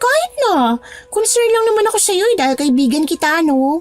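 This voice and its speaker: A woman's squeaky, put-on character voice at extremely high pitch with very wide pitch swings and a moderate pace, faint music in the background. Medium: audio drama. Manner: blunt, insistent.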